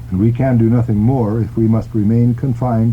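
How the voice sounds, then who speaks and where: Speaking at a fairly quick pace with fairly even intonation, a man is heard over noticeable background noise. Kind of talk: radio reading of an open letter.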